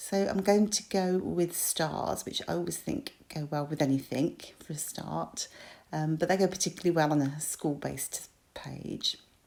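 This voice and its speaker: Speaking at a moderate pace, a woman talks in a British accent. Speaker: crafter. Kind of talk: tutorial. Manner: hesitant with fillers.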